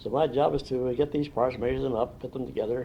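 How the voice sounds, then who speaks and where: A man with a Midwestern American accent talks at a fairly quick pace. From Indiana. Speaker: retired factory draftsman. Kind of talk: oral history interview. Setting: at his home. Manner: fast.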